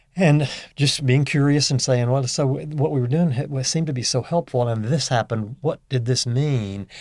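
On a very clean recording with a silent background, a man speaks at medium pitch with ordinary pitch variation. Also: moderate pace. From US South, northeast Louisiana. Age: 60s. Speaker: leadership coach. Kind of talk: casual interview chat.

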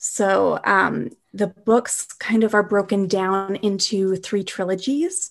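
In an ordinary speaking voice, a woman with a Canadian accent talks at a medium pitch with ordinary pitch variation against a quiet background. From Canada, Winnipeg. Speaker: author and productivity coach. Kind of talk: interview.

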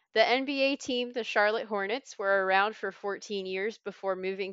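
A woman with a Southern US accent, medium pitch, ordinary pitch variation and a moderate pace. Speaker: middle school teacher and trivia quizmaster. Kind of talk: casual chat and trivia game. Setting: video call.

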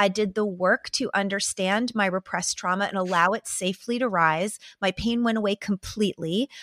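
In a plain, everyday voice, a woman speaks fairly quickly at a medium pitch with fairly even intonation, the sound dry and close with no echo on a very clean recording with a silent background. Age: 40s. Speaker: psychotherapist and author. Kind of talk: interview conversation.

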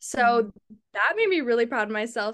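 Her pitch fairly high and its variation ordinary, the woman talks in an unremarkable speaking voice. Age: 20s. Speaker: content creator. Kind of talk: casual chat.

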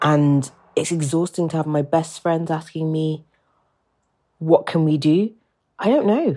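With a very deep, low pitch and a dark, mellow tone, a woman talks at a fairly slow pace in fairly even intonation, leaving long, frequent pauses. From England. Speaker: listener sharing a message. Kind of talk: voice memo, personal reflection. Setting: recorded voice memo.

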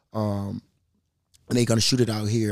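On a very clean recording with a silent background, a man speaks at a fairly quick pace in a fairly low pitch, the sound dry and close with no echo. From Minneapolis, north side. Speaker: entrepreneur and music artist. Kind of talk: casual chat.

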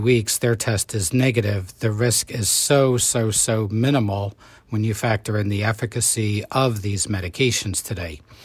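The delivery keeps a moderate pace. Its intonation stays fairly even, and the voice is somewhat breathy. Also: man. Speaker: doctor. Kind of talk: interview.

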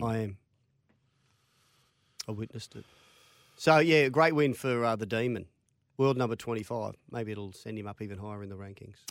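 In an Australian accent, a man speaks at a medium pitch and a moderate pace with ordinary pitch variation, big swings in loudness and long, frequent pauses. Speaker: sports radio co-host. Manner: jokey, bantering.

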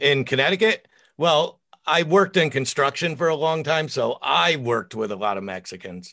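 A man's fairly high, bright, sharp voice with vocal fry and very wide pitch swings, at a moderate pace against a quiet background. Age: 50s. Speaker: author and podcaster. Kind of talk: casual chat. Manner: loud.

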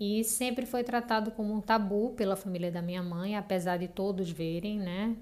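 At a moderate pace and with hardly any pauses, a woman talks in a normal speaking voice at a medium pitch with fairly even intonation. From Recife, Brazil. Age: 30s. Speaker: listener sharing a paranormal story. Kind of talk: personal storytelling.

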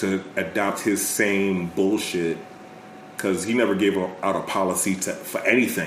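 A man's fairly low-pitched, monotone voice with flat intonation, at a moderate pace, with audible room echo and noticeable background noise. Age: 30s. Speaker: podcast guest. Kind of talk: casual chat.

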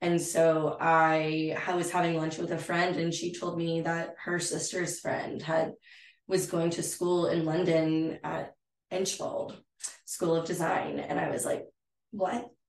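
A woman's fairly low, monotone, flat voice in a Texan accent. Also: fairly slow pace. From West Texas, San Angelo. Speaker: interior designer. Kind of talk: casual chat. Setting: at her home.

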